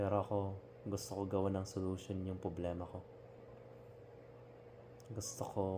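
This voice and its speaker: Noticeable background noise sits behind speech that has fairly even intonation, a moderate pace, and long, frequent pauses. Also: man, very deep, low pitch for a man. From Philippines. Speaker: overseas Filipino worker. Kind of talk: casual talk to camera. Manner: sincere, reflective.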